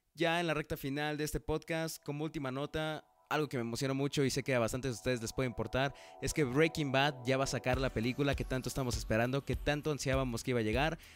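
Over music in the background, a man talks at a very fast pace. His pitch is medium and his intonation fairly even. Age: 20s. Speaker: podcast host. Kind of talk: casual solo podcast. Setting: on camera.

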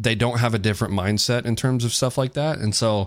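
An unremarkable speaking voice with ordinary pitch variation moves at a moderate pace. The recording is very clean, with a silent background. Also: man. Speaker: podcast co-host. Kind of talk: casual banter, crude comedic debate. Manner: profane, joking.

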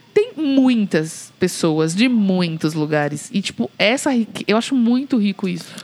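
There is noticeable background noise. Over it, a woman speaks at a moderate pace. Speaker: podcast co-host. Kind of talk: casual chat. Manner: loud.

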